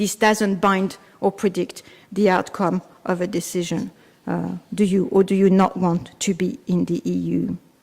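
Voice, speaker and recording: A woman speaks in a French accent with vocal fry at a medium pitch. Her pace is fairly slow and her intonation fairly even. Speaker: law professor. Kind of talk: conference talk. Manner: hesitant, with fillers.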